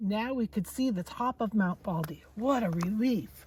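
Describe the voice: Reading aloud, plain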